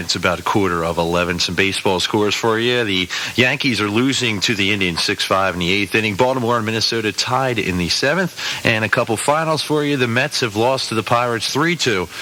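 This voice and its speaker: Speaking at a very fast pace with hardly any pauses, a man with an American accent uses lively intonation, a medium pitch, and very even loudness over noticeable background noise. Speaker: radio DJ. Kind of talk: radio DJ air check, rock station. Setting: radio broadcast.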